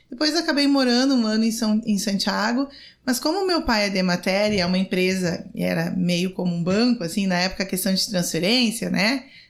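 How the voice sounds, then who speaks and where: A woman with an ordinary speaking voice talks at a fairly quick pace, her pitch medium and her intonation lively. Her loudness stays very even throughout. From Rio Grande do Sul interior, Brazil. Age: 40s. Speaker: city councillor and lawyer. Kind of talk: podcast interview.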